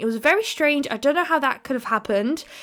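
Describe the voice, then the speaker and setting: With music in the background, a woman with a British accent speaks at a high pitch, her tone upbeat and her intonation lively. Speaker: nail art youtuber. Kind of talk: tutorial voiceover. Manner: fast; chatty, upbeat.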